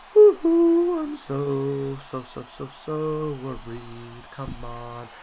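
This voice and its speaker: A man's voice over noticeable background noise. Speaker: gaming youtuber. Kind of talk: video game play-by-play commentary. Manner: animated, excitable.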